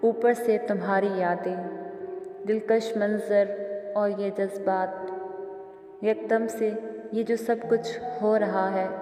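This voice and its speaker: Noticeable background noise surrounds this recording. A woman speaks at a medium pitch in a monotone, flat intonation. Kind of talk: poetry reading.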